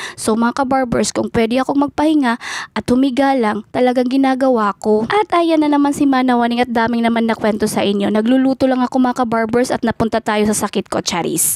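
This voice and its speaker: At a fairly quick pace, a high-pitched woman talks with ordinary pitch variation in a dry, close sound with no echo. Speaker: vlogger. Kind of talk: cooking vlog voice-over. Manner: chatty, casual.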